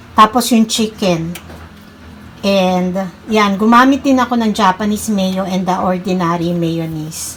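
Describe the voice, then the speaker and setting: A woman of medium pitch talks at a very slow pace with ordinary pitch variation. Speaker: vlogger, cook. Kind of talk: casual vlog chat.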